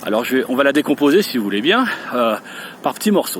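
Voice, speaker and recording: Over noticeable background noise, a man's fairly high voice makes very wide pitch swings. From France, Lyon / Rhône. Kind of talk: language pronunciation tutorial. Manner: hesitant, many fillers; slow, careful.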